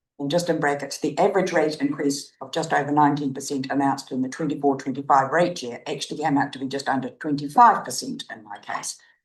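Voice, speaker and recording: This woman with a New Zealand accent talks very fast with hardly any pauses, her very deep, low voice held to a fairly even intonation. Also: big swings in loudness. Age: 80s+. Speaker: resident speaking at public forum. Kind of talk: prepared public submission read aloud. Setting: council meeting chamber.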